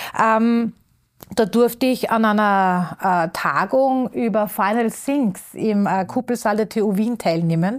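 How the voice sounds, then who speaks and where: A woman's fairly high voice at a very slow pace and very even loudness, on a very clean recording with a silent background. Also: ordinary pitch variation. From Upper Austria. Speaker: circular economy expert. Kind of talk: interview. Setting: studio.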